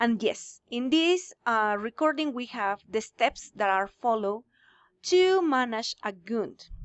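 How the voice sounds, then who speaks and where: With a Spanish accent, a woman talks very slowly at a fairly high pitch, her intonation lively. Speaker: English teacher. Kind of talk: lecture. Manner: halting.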